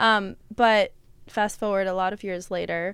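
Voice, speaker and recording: This very clean recording has a silent background and a woman at medium pitch with fairly even intonation. She has an ordinary speaking voice and a moderate pace. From US, moved from Russia at age one. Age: 30s. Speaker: wellness and Ayurveda practitioner. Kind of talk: casual interview. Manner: casual, filler-heavy.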